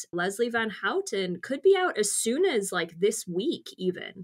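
A woman with a Canadian accent has an ordinary speaking voice, with ordinary pitch variation at a fairly slow pace. The recording is very clean, with a silent background. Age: 30s. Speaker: true crime podcast co-host. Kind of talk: casual chat. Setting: home recording in a blanket fort.

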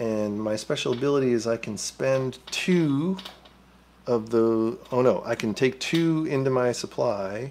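A man's slightly mellow voice at a medium pitch, with ordinary pitch variation and a fairly slow pace.

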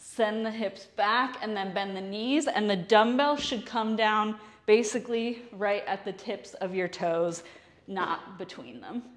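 A woman talks at a fairly slow pace, her pitch varying in an ordinary way. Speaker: fitness instructor. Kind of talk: tutorial. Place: gym. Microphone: lapel.

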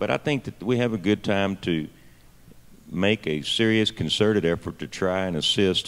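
A man talks in a Texan accent. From Texas. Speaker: state legislator; panelist. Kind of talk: panel discussion. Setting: stage with audience at a conference. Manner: halting, many fillers. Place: hall. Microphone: handheld.

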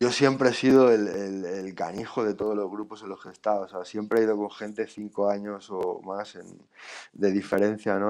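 Against a quiet background, a man with a plain, everyday voice speaks at a moderate pace and fairly low pitch with fairly even intonation. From Spain, Valladolid; Spain. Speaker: rapper. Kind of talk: casual chat. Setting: live stream. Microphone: video call.

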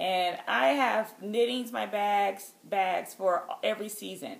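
A woman is speaking. Her voice carries vocal fry. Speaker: knitting podcast host. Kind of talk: casual vlog chat. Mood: cheerful, chatty, laughing. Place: home room. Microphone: phone near.

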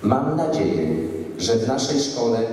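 Strong room echo surrounds a man's voice. He is medium in pitch and speaks at a fairly slow pace. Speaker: school principal. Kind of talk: ceremonial speech. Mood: solemn, encouraging. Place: hall.

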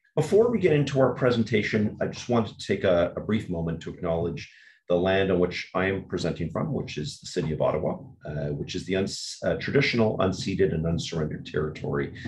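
A man's very deep, low voice, somewhat breathy, at a very fast pace. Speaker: webinar host. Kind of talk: formal webinar introduction. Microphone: webcam.

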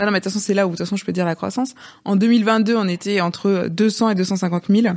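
A woman talks at a very fast pace with a medium pitch. Her intonation stays fairly even against a quiet background. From Rennes, Brittany, France; Brittany, France. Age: 30s. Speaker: entrepreneur, former nurse; podcast guest. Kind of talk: interview conversation. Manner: hesitant, many fillers. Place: studio. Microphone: studio mic.

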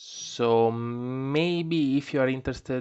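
In an Italian accent, a man speaks at a medium pitch. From Italy. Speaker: tarot reader. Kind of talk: tarot reading video. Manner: halting.

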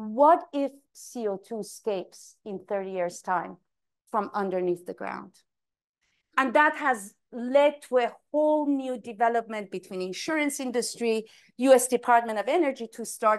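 An unremarkable speaking voice from a woman, fairly high in pitch, with an American accent, lively intonation, big swings in loudness and a fairly slow pace against a quiet background. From US, Boston. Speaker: climate risk expert, keynote speaker; keynote speaker. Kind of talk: keynote talk. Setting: conference stage with audience. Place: hall.

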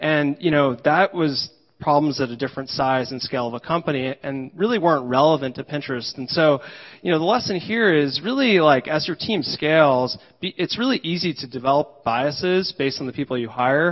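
A man with a plain, everyday voice, a fairly high pitch and an American accent talks at a fairly quick pace with ordinary pitch variation against a quiet background. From New Jersey, US. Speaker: engineering leader. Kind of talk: conference talk. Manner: frequent filler words. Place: hall.

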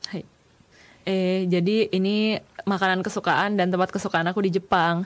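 Speaking with an Indonesian accent, a woman keeps a fairly slow pace. Her intonation is monotone and flat. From Indonesia, Jakarta. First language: Indonesian (speaking Japanese). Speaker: university student intern. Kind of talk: presentation. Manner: casual. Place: studio.

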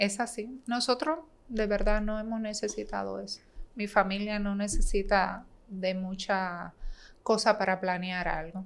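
A woman talks at a fairly slow pace. Her pitch is medium, with ordinary variation. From Dominican Republic, San Pedro de Macorís; Dominican Republic. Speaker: bank manager; podcast guest. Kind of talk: casual interview. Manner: talkative. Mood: relaxed, warm. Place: studio. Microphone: studio mic.

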